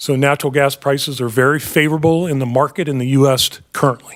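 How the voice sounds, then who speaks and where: The man's pitch is fairly high and his intonation fairly even. He speaks at a fairly quick pace. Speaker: utility finance staff presenter. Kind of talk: board meeting presentation. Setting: public board meeting. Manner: fast; halting, many fillers.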